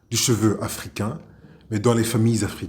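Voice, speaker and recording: With a Rwandan accent, a somewhat breathy man speaks in a medium pitch at a moderate pace. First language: Kinyarwanda (speaking French). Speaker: actor, playwright and theatre director. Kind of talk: interview. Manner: halting, frequent hesitations.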